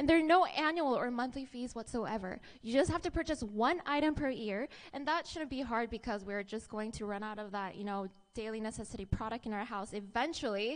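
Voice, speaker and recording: A woman's upbeat, enthusiastic voice with lively intonation at a fairly quick pace. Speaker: network marketing presenter. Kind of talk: pitchman presentation. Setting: stage with audience. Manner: upbeat, enthusiastic, engaging the audience with questions. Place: hall. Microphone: handheld.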